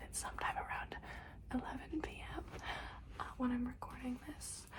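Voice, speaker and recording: Whispering and soft-spoken, a woman talks at a moderate pace against noticeable background noise. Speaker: ASMR creator. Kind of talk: casual talk to camera. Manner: soft-spoken, whispering.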